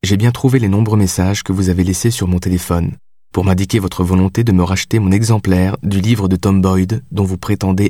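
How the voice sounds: Fairly even intonation marks a natural reading voice.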